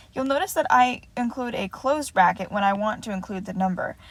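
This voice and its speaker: This woman talks fairly quickly in a somewhat breathy voice, her pitch varying in an ordinary way. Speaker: math teacher. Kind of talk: lecture. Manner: fast.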